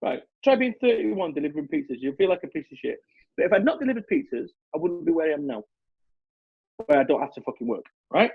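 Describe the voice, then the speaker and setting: Speaking very fast with a Mancunian accent, a high-pitched man sounds animated, his pitch swinging very widely and his loudness shifting a lot, with long, frequent pauses. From Salford, Manchester, northern England. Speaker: motivational business speaker. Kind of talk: podcast interview. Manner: animated, emphatic.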